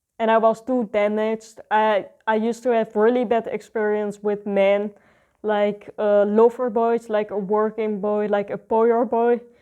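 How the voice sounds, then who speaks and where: Fairly high-pitched woman with a dark, mellow tone, monotone, flat intonation and a fairly slow pace, over a quiet background. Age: 20s. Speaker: vlogger. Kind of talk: personal testimony. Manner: halting.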